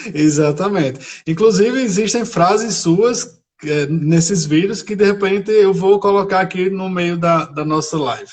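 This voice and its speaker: A man with a high pitch and a northeastern Brazilian accent at a fairly slow pace, with hardly any pauses and ordinary pitch variation. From Brazil, Rio Grande do Norte (Areia Branca). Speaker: teacher. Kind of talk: live stream interview. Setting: Instagram live video.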